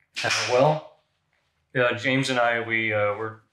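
Against a quiet background, a man speaks at a moderate pace. His intonation is fairly even, and the room echo is audible. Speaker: personal trainer. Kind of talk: interview answer. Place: gym. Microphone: camera far.

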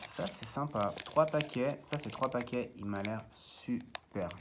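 Noticeable background noise sits behind a man whose speech is very slow. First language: Italian (speaking French). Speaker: card collector YouTuber. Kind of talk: casual unboxing video. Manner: halting, many fillers and repetitions. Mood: a bit nervous, first video. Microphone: phone near.

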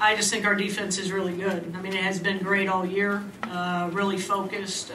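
There is noticeable background noise as a woman speaks with monotone, flat intonation. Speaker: basketball head coach. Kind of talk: interview answer. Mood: calm, reflective after a loss. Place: hall. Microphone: podium.

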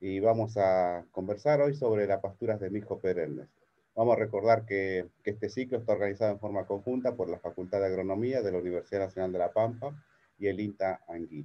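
A man talks at a fairly quick pace with ordinary pitch variation. It is an ordinary speaking voice. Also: fairly low pitch for a man. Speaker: webinar host. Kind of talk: event introduction. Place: office. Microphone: video call.

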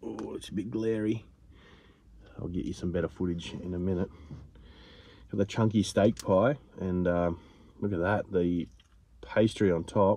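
A man speaks at a fairly slow pace with long, frequent pauses and low pitch. His tone is dark and mellow with a slightly husky edge and fairly even intonation.

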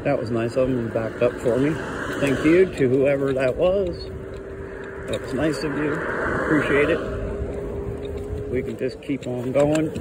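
Loud background noise fills the clip as a man talks fairly slowly. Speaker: channel host. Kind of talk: casual vlog chat. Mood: relaxed, upbeat. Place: street. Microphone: phone near.

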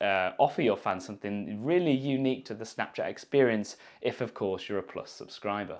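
A man speaks at a moderate pace with a medium pitch. The background is quiet. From United Kingdom. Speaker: YouTuber. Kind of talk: tech review. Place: studio. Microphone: lapel.

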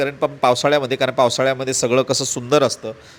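An ordinary speaking voice comes through with fairly even intonation. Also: man. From Maharashtra, Marathwada (Udgir, Latur district). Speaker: travel vlogger. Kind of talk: travel vlog narration.

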